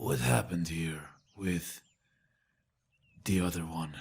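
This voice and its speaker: Speaking at a fairly slow pace, the put-on character voice comes out raspy. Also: man, very deep, low pitch for a man. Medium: audio drama. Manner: cold, bitter.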